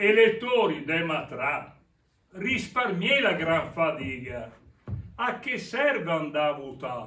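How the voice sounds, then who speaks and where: Speaking very slowly with a Milanese accent, a man uses a high pitch that swings very widely. He leaves long, frequent pauses. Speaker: stage actor. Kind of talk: theatre performance in dialect.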